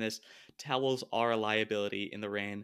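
The recording is very clean, with a silent background. A man speaks at medium pitch in a monotone, flat intonation. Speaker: podcast co-host. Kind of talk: casual chat. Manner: hesitant, many filler words.

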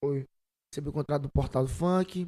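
A moderately paced male voice, dark and mellow in tone, with fairly even intonation. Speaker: singer. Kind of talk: casual chat.

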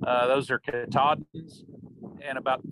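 A man with a Missouri accent, a bright, sharp tone and monotone, flat intonation in a dry, close sound with no echo. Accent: Missouri rural Midland American. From southeast Missouri. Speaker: cattle rancher. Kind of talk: interview. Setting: remote call. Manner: halting, repeats words.

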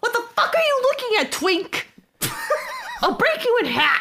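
A put-on character voice comes through at an extremely high pitch. The pace is moderate. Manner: threatening, snarling.

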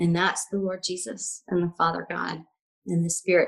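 A woman with a Southern US accent talks at a moderate pace. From US South, Alabama. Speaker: life coach. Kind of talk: casual interview chat.

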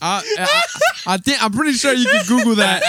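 Over noticeable background noise, a man with an extremely high pitch projects a raised voice very slowly, his pitch swinging very widely. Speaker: podcast co-host. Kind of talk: casual, slangy.

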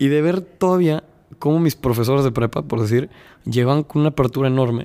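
A man in a dark, mellow tone, fairly high in pitch, with ordinary pitch variation. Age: 20s. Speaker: podcast host. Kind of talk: casual interview chat.

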